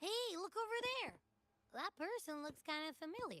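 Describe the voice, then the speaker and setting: The speaker uses a put-on character voice at an extremely high pitch. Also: moderate pace. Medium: video game. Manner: playful, teasing.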